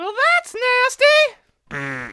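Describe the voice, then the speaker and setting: A squeaky, cartoonish character voice. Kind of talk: comic overacting. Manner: taunting, obnoxious.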